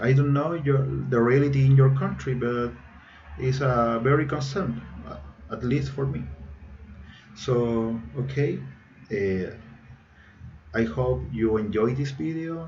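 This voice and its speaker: A man speaks at a fairly slow pace with long, frequent pauses and ordinary pitch variation, in audible room echo. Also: medium pitch for a man. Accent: Chilean Spanish. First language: Spanish. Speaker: engineering student. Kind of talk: recorded presentation. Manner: halting, many fillers.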